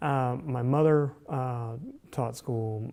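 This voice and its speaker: A man with a Southern US accent speaks in a dark, mellow voice at a medium pitch. His pace is very slow and his intonation fairly even. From US South, Alabama (Dothan). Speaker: journalism professor. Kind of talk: interview. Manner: halting, many fillers.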